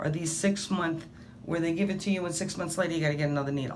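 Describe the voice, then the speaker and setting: Audible room echo surrounds this voice. A woman speaks at a fairly low pitch. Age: 60s. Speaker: patient. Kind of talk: testimony. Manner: animated.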